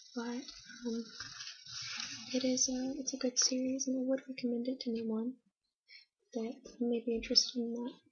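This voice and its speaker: Soft-spoken and high-pitched, a woman talks at a moderate pace in a monotone, flat intonation, with long, frequent pauses. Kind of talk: soft-spoken ASMR manga review.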